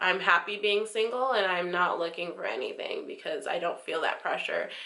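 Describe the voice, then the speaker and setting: A woman with an American accent speaks at a moderate pace. There is noticeable background noise and audible room echo. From United States. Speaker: vlogger. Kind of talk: casual vlog monologue. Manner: loud; chatty, many fillers.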